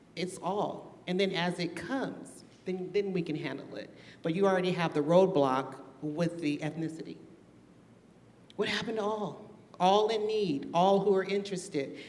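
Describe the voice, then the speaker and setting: Background noise can be clearly heard. The speaker keeps a medium tempo. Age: 60s. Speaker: public meeting participant. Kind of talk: public meeting discussion. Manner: animated.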